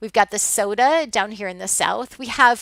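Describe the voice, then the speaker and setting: This is a woman speaking. She has an American accent. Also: dry, close sound with no echo. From US Midwest. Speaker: college instructor. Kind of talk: online lecture. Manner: hesitant, many fillers.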